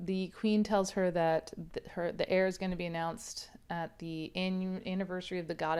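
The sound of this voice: The clip features an unforced reading voice.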